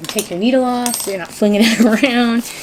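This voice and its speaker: Noticeable background noise is present. Over it, a woman speaks at a moderate pace. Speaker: crafter / DIY channel host. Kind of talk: casual craft tutorial talk to camera.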